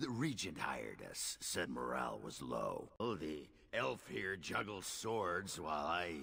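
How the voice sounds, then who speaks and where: A man puts on a raspy character voice at a very deep, low pitch. He speaks at a fairly slow pace. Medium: video game. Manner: sardonic, dry.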